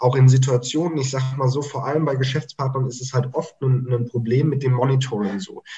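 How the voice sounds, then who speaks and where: A man with an ordinary speaking voice talks fairly quickly at a medium pitch with fairly even intonation. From Germany (near Mainz) and Mozambique. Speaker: startup consultant. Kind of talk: casual interview chat.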